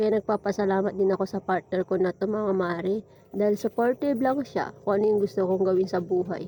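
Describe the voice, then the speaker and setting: A woman with a dark, mellow tone and medium pitch speaks at a fairly quick pace with fairly even intonation, in a dry, close sound with no echo. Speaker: vlogger. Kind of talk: casual vlog narration.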